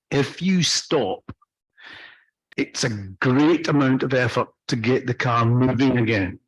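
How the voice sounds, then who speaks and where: In a Scottish accent, the speaker talks at a very slow pace, somewhat breathy, with ordinary pitch variation, very even loudness, and a dry, close sound with no echo. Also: man, medium pitch for a man. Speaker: off-road driving instructor. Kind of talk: training lecture.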